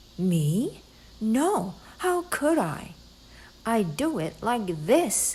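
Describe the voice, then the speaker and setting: A woman's put-on character voice, fairly high in pitch with very wide pitch swings, at a very slow pace with long, frequent pauses. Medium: read story.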